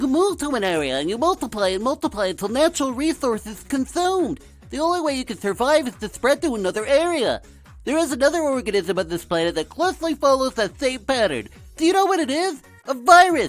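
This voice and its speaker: A put-on character voice races along at a very fast pace. Clear music plays in the background. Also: man, extremely high pitch for a man. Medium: voice reel.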